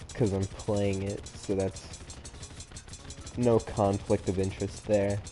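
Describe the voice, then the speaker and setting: Someone speaks at a very slow pace with long, frequent pauses while music plays in the background. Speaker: gaming streamer. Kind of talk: gameplay livestream commentary. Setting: solo livestream.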